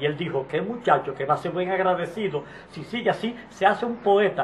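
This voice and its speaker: Over light background noise, a man talks at a fairly quick pace with a high pitch. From Dominican Republic. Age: 70s. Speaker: street poet. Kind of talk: interview answer. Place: home room.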